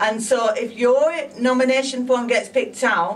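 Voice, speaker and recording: A woman speaks with a northern English accent. Noticeable background noise and audible room echo surround her voice. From northern England, Blackburn, Lancashire. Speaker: psychic medium. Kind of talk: interview. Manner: animated.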